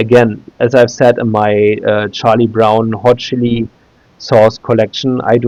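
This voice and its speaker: A man with a German accent, flat and monotone, at a fairly slow pace. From Germany, Berlin. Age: 30s. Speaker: YouTuber. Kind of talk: tutorial. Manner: halting, many filler sounds.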